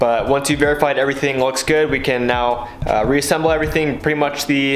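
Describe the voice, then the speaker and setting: Music sits behind a man speaking at a fairly quick pace. His intonation is fairly even, and audible room echo surrounds him. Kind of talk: tutorial. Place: garage. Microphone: phone near.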